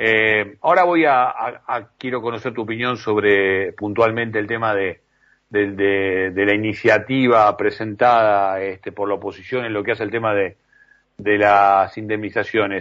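A man's fairly low voice with fairly even intonation at a fairly slow pace. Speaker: radio host. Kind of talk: radio interview. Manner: halting.

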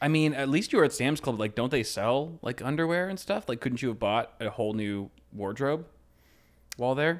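A man has a plain, everyday voice at a medium pitch, with lively intonation at a moderate pace. The recording is very clean, with a silent background. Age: 30s. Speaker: podcast co-host. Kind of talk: casual chat.

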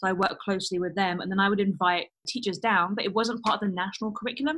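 At a very fast pace, a woman with a London accent speaks at a medium pitch. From London, England. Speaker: design teacher. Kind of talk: casual interview.

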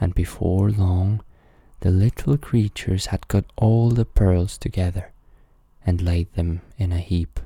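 A man speaks at a fairly slow pace in a very deep, low voice with a dark, mellow tone, somewhat breathy and calm, soothing, his intonation fairly even and the sound dry and close with no echo. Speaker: podcast host and storyteller. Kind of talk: bedtime story reading aloud. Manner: calm, soothing, slow.

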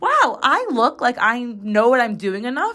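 A woman with an American accent uses a raised, projected voice, high in pitch and bright and sharp in tone, at a fairly slow pace. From Chicago, US Midwest. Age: 20s. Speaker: podcast host. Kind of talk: casual monologue. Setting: home recording in bathroom.

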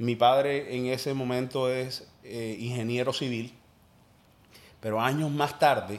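His intonation holds fairly even. The man's pitch is medium. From Colombia, Cartagena (Caribbean coast). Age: 30s. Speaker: entrepreneur and former radio host. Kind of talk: casual interview conversation.

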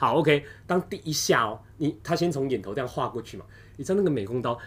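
A man talks with very wide pitch swings. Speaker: podcast host. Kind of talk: casual chat. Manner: animated.

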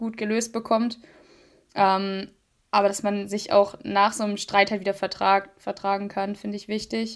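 At a moderate pace, a woman talks with monotone, flat intonation. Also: very clean recording, silent background. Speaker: podcast co-host. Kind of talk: casual chat. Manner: long pauses between words.

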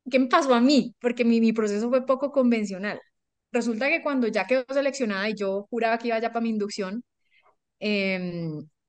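At a fairly quick pace, the speaker talks in a Colombian accent with ordinary pitch variation. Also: woman. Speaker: life coach. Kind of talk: interview storytelling.

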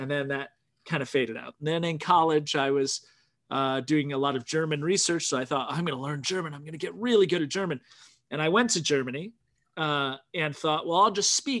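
Against a quiet background, a man speaks with a plain, everyday voice at a fairly high pitch. His pace is fairly quick, with ordinary pitch variation. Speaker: podcast host. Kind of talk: casual chat. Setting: video call.

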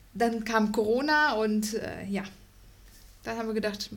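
A woman's somewhat breathy, fairly high voice with fairly even intonation and audible room echo. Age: 30s. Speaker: host's wife. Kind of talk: casual chat.

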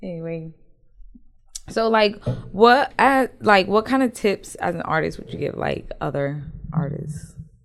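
With vocal fry, a woman talks at a fairly slow pace, her pitch swinging very widely and her loudness in big swings, broken by long, frequent pauses. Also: medium pitch for a woman. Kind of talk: casual interview chat. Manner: casual, joking, profane.

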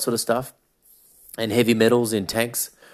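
A man in an Australian accent speaks at a medium pitch. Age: 40s. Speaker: podcast host. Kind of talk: monologue podcast.

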